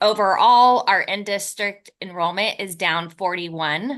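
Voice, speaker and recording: Speaking at a fairly slow pace, a woman with a medium pitch and a bright, sharp tone uses ordinary pitch variation against a quiet background. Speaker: school district business office staff. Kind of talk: formal report at a meeting. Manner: formal.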